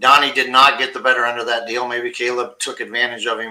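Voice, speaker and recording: At a fairly quick pace, a man speaks with a medium pitch and a bright, sharp tone. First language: not English. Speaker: fantasy football podcast co-host. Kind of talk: casual chat.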